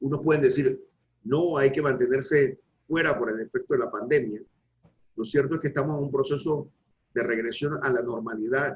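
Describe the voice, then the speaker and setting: Somewhat breathy, a man talks at a fairly high pitch with fairly even intonation. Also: moderate pace. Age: 60s. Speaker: law professor. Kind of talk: academic panel discussion.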